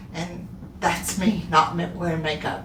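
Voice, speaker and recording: A woman is speaking with audible room echo. Noticeable background noise runs beneath her. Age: 60s. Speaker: skincare soap maker and video host. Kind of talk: casual tutorial. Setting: home bathroom. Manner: relaxed, conversational with fillers.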